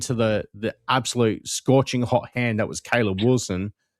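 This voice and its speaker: A man speaks with an Australian accent at a moderate pace. His pitch sits in the middle range, and his intonation stays fairly even. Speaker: basketball podcast co-host. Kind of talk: casual chat.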